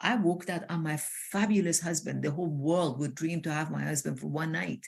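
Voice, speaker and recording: A woman talks at a fairly quick pace in a very deep, low voice with vocal fry and ordinary pitch variation. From Iran. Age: 60s. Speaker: transformational coach. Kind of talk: interview conversation. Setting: live video call. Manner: animated.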